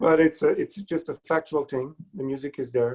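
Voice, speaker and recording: This man has a Quebec accent and a fairly high pitch. He speaks at a moderate pace. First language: French. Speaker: composer. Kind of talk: casual interview.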